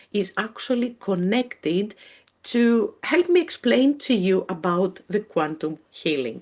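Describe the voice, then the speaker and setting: A woman with a Greek accent speaks fairly slowly at a medium pitch. Her pitch swings very widely. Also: very even loudness. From Greece. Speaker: spiritual healer and mentor. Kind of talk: live webinar presentation. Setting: live webinar video call. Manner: halting, with frequent fillers.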